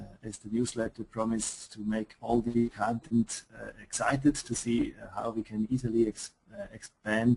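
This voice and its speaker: A man with a Swiss accent, medium-pitched and moderately paced, in a monotone, flat delivery with a dry, close sound and no echo. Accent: Swiss accent, noticeable. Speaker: software company presenter. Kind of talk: webinar product presentation. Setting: online webinar. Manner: hesitant, many fillers.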